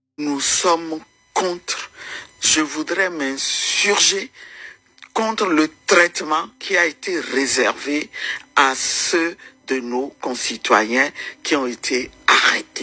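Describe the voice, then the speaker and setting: A woman with a very deep, low pitch and lively intonation, at a very slow pace with long, frequent pauses, amid noticeable background noise. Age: 60s. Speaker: opposition politician and women's rights activist. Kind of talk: interview. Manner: hesitant, many fillers.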